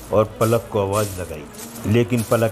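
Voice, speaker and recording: A man's fairly low voice, fairly even in intonation, over background music. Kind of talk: horror story narration.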